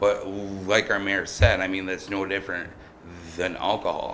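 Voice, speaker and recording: A bright, sharp voice moves at a fairly slow pace through audible room echo. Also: man. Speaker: small business owner applying for tobacco license. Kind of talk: public comment at council meeting. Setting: city council chamber. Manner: halting, many fillers and repetitions.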